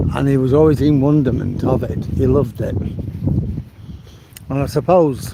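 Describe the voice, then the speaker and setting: A man with an English accent speaks at a moderate pace in a medium pitch, with fairly even intonation and long, frequent pauses. Noticeable background noise and audible room echo surround his voice. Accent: English regional accent, viewers remark on it. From northern England, Manchester. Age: 70s. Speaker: vlogger. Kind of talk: casual walking vlog commentary. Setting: outdoors, walking along the promenade.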